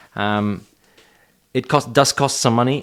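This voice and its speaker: In a very clean recording with a silent background, a man with a non-native accent talks at a moderate pace with ordinary pitch variation. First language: not English. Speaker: Buddhism commentator. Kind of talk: solo talk video. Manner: hesitant, many fillers.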